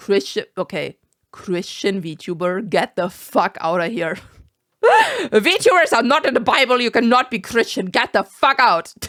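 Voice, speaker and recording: A woman with a German accent, very wide pitch swings and a fairly slow pace. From Germany. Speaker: vtuber. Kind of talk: reaction commentary. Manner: animated.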